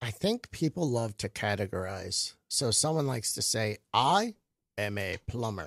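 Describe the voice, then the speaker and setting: In an unremarkable speaking voice, a man with an American accent talks at a fairly slow pace and medium pitch with lively intonation, recorded very cleanly against a silent background with a dry, close sound and no echo. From Michigan and Florida. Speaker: comedian. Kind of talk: casual chat. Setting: studio.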